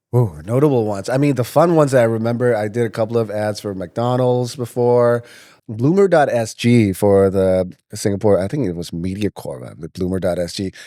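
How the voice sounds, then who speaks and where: A dark, mellow, medium-pitched male voice with an American accent, at a fairly quick pace with ordinary pitch variation, in a very clean recording with a silent background. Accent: American-sounding, self-taught from movies. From Myanmar (Yangon). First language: Burmese. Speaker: voice actor. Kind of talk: casual interview.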